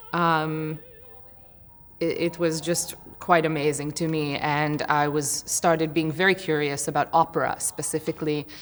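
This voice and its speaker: With music in the background, a woman speaks at a moderate pace in a very deep, low voice with monotone, flat intonation. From Israel. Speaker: opera singer. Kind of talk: interview. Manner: halting.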